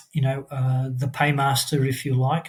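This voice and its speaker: The man's voice sits fairly high. It sounds somewhat breathy. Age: 60s. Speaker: former corporate worker turned small business owner. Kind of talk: podcast interview. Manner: halting, many fillers.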